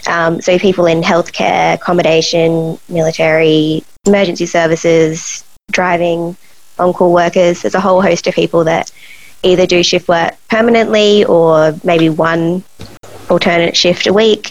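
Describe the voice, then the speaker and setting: In an Australian accent, a woman talks at a moderate pace with a fairly low pitch and fairly even intonation. Her loudness stays very even, with noticeable background noise behind her. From Australia, Adelaide. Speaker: sleep researcher. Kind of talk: interview.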